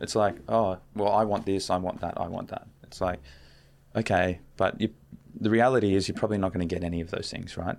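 With an Australian accent, a man speaks at a fairly quick pace in a fairly low pitch, his intonation fairly even. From Australia, Canberra. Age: 20s. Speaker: relationship mentor. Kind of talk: casual chat.

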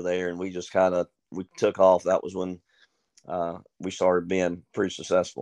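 The sound is dry and close with no echo, against a quiet background. The pace is moderate. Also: man. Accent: Southern US. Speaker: high school wrestling coach. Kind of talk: casual interview.

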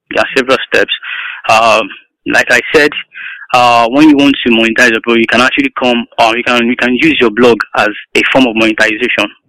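A man speaks fairly quickly in a medium pitch with a bright, sharp tone and flat, monotone intonation. His long, frequent pauses sit in a dry, close sound with no echo. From Nigeria. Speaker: computer science student and digital marketer. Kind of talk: interview.

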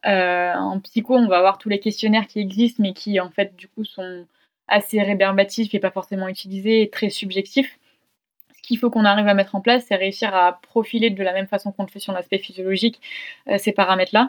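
This woman has an ordinary speaking voice at a medium pitch, with a fairly quick pace and fairly even intonation. Her loudness swings widely, and the sound is dry and close with no echo. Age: 20s. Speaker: sports science start-up co-founder. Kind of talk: casual interview.

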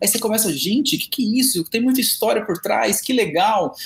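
The speaker moves at a fairly quick pace with ordinary pitch variation over noticeable background noise. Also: man. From interior of São Paulo state, Presidente Prudente. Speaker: cachaça specialist and sommelier. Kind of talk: podcast interview.

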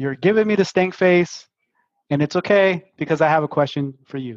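A man speaks in a high voice with a Brooklyn accent, his intonation lively and his pace moderate. The sound is dry and close, with no echo. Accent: Brooklyn New York. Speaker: podcast host. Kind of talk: panel discussion, casual chat.

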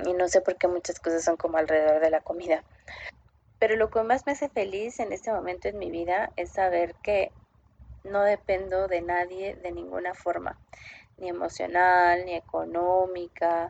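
Using an ordinary speaking voice, a woman talks at a moderate pace with fairly low pitch and fairly even intonation. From Mexico City. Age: 30s. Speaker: expat sharing her experience. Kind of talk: recorded personal testimony.

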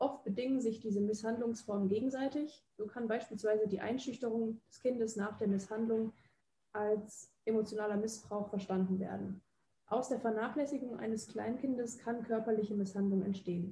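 At a moderate pace, a woman speaks with a fairly high pitch, fairly even intonation, a dark, mellow tone and a somewhat breathy quality. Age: 20s. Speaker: psychology student and podcast host. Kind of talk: scripted narration; interview questions.

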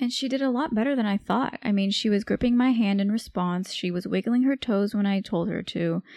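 With an American accent and a normal speaking voice, the talker goes at a fairly quick pace with hardly any pauses, ordinary pitch variation and very even loudness, on a very clean recording with a silent background and a dry, close sound with no echo. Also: woman, fairly high pitch for a woman. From California, Bay Area. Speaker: medical resident, podcast co-host. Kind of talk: casual chat.

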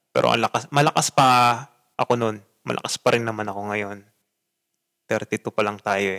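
Fairly low-pitched male speech with a bright, sharp tone, fairly even intonation, a moderate pace and long, frequent pauses, in a dry, close sound with no echo. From Philippines. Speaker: podcaster and teacher. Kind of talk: casual monologue.

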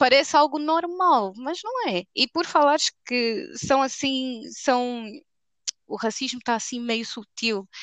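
Speaking at a very slow pace, a woman with a high pitch and lively intonation comes across in a dry, close sound with no echo. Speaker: podcast co-host. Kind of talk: casual chat. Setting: remote recording.

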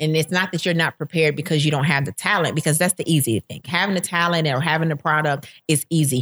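A woman speaks at a very fast pace with hardly any pauses, her pitch very deep and low. Her intonation stays fairly even in a dry, close sound with no echo. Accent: American. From Florida. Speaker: baker and small business owner. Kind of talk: interview.

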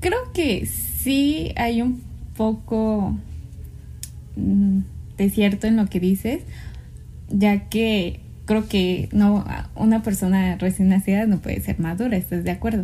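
Pausing often and at length, a woman talks at a very slow pace. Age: 20s. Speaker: podcast co-host. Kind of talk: casual chat.

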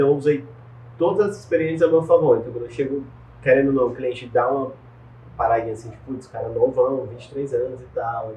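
Noticeable background noise sits behind a man at a medium pitch. He speaks at a very fast pace with ordinary pitch variation. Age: 20s. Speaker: digital marketing entrepreneur. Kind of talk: interview. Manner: casual slangy.

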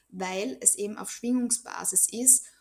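There is noticeable background noise behind this recording. The woman's speech moves at a moderate pace. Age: 30s. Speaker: Bach flower remedy practitioner. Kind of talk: interview.

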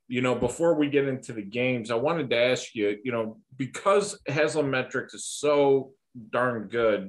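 A man with an ordinary speaking voice, medium pitch, lively intonation and a fairly slow pace. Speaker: podcast host. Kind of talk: casual chat. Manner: informal, chatty.

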